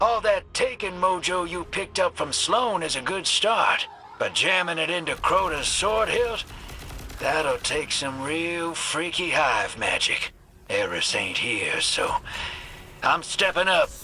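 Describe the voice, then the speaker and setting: A drawling put-on character voice from a man, high in pitch and fairly slow, over light background noise. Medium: video game. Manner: drawling, folksy slang.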